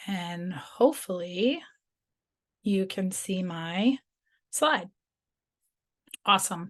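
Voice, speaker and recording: In a quiet setting, a woman with a medium pitch speaks at a very slow pace, leaving long, frequent pauses. Her intonation is lively. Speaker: teacher and technology ambassador giving a workshop. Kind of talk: webinar presentation. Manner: casual with many fillers.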